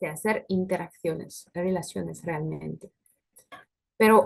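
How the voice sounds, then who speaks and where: A woman speaks with a French accent at a fairly slow pace, her voice somewhat breathy. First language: French (speaking Spanish). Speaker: food industry technical specialist. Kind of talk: webinar presentation with Q&A. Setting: online webinar. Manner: hesitant, frequent filler sounds.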